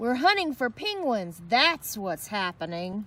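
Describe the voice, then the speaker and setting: Putting on a character voice, a woman growls at a fairly slow pace with a fairly high pitch. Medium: read story. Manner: gruff, menacing.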